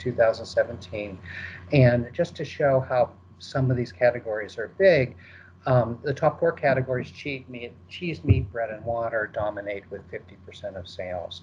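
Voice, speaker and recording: A man's somewhat breathy, medium-pitched voice with an American accent, lively intonation and big swings in loudness. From United States. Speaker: market research presenter. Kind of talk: webinar presentation. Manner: fast; hesitant, many fillers.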